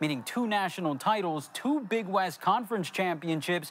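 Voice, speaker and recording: Lively intonation carries speech that moves along at a moderate pace. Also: man. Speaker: sports reporter. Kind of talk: TV news sports report.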